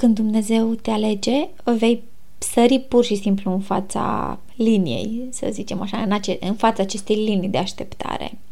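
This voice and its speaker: A woman with a fairly high voice speaks in a calm tone at a fairly slow pace. Her intonation stays fairly even, and room echo is audible. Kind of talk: casual faith talk. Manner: soft-spoken. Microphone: recorded quieter than intro.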